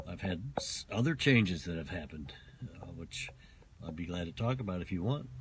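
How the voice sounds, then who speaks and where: Somewhat breathy, a man with a very deep, low pitch speaks with lively intonation. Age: 70s. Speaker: doctor and health author. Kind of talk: casual interview. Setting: in a car. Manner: halting.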